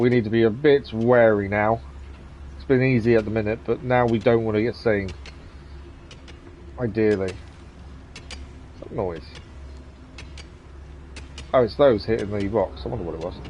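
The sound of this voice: A man's fairly low voice, slightly mellow in tone, with fairly even intonation and long, frequent pauses. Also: moderate pace.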